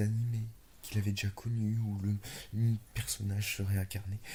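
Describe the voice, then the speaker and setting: A man whispers, somewhat breathy, at a moderate pace. The recording is very clean with a silent background. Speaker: ASMR storyteller. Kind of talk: improvised whispered fantasy story. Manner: whispered, low voice.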